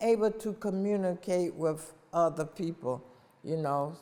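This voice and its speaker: An unremarkable speaking voice from a woman, fairly low in pitch, with an American accent and ordinary pitch variation. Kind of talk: interview answer.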